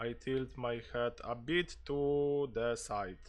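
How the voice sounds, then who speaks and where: Music plays in the background as the speaker talks with a Polish accent. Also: man. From Poland. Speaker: gaming streamer. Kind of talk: live gameplay stream with roleplay. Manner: mumbling.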